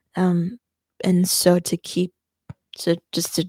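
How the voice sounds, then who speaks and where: The recording is very clean, with a silent background and a dry, close sound with no echo. A woman speaks at a medium pitch in a somewhat breathy voice with a dark, mellow tone. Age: 20s. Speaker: video blogger who also teaches. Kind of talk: casual life update monologue. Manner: hesitant, many fillers.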